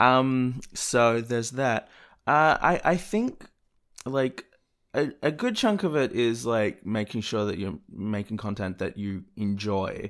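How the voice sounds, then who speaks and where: The man's speech is very slow. He holds a medium pitch that varies in an ordinary way. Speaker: video creator and podcaster. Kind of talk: casual chat.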